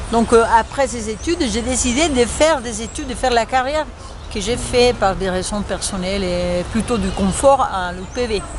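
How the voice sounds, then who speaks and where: Over crowd noise, a woman with a fairly high pitch and lively intonation speaks at a moderate pace. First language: Spanish (speaking French). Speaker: French teacher. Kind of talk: interview. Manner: halting, many fillers.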